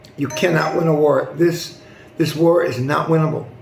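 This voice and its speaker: Noticeable background noise and audible room echo accompany a high-pitched man with an American accent. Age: 60s. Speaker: news commentary youtuber. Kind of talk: news commentary monologue. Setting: hot non-air-conditioned building. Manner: hesitant, many fillers.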